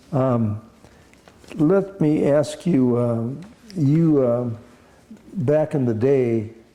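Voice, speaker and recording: A man speaks very slowly at a medium pitch with ordinary pitch variation, leaving long, frequent pauses. His loudness stays very even, and background noise is noticeable. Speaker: oral history interviewer. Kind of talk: interview introduction and questions.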